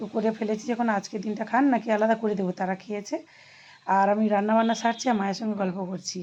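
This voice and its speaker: Fairly high in pitch, a woman's somewhat breathy voice carries a dark, mellow tone and fairly even intonation. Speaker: vlogger. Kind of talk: casual vlog narration. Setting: kitchen at home.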